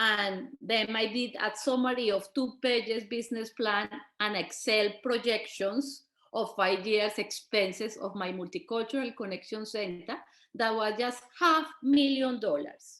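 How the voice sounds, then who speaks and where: With a strong Colombian accent, a woman speaks at a fairly slow pace in a fairly high pitch, using ordinary pitch variation. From Colombia, Bogota. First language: Spanish. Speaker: migrant women's community organizer and businesswoman. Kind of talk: panel talk. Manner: halting, with restarts.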